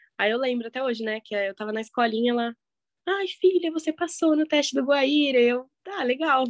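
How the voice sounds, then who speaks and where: A normal speaking voice at a moderate pace, in a dry, close sound with no echo. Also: woman. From Curitiba, southern Brazil. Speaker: professional ballet dancer. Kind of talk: casual interview.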